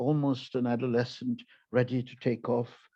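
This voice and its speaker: At a fairly slow pace, a man speaks with medium pitch and a monotone, flat intonation. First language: Tamil. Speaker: poet. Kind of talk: casual chat; poetry reading.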